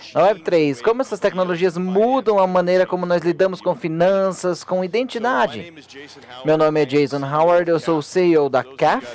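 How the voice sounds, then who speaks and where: A man with a non-native accent talks in a high-pitched voice with lively intonation, and there is noticeable background noise. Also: moderate pace. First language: English (speaking Portuguese). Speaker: panel moderator, company CEO. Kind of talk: conference panel discussion. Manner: halting.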